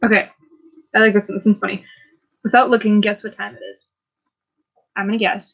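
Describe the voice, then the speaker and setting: The speaker, with an American accent, talks very fast in a monotone, flat, somewhat breathy way. Loudness swings widely, and pauses are long and frequent. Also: woman, fairly high pitch for a woman. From Minnesota, US. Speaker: YouTuber. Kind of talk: casual chat. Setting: home livestream. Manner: hesitant, many ums. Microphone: laptop mic, poor quality.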